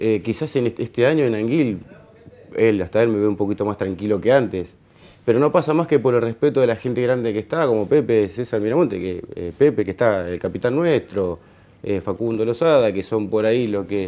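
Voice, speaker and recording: A man uses an ordinary speaking voice at a medium pitch, moving at a moderate pace with ordinary pitch variation. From Argentina. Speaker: football player. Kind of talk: interview. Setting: studio. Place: studio.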